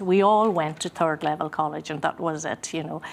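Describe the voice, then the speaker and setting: A woman speaks with a Donegal accent. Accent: Donegal Irish. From Ireland, Gweedore, County Donegal. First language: Irish Gaelic. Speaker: musician and singer. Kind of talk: interview. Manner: hesitant, many fillers.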